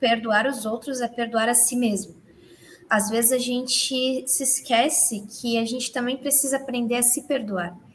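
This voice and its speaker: A high-pitched woman at a fairly slow pace, with noticeable background noise. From Santa Catarina, Brazil. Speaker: church youth member. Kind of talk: casual religious discussion.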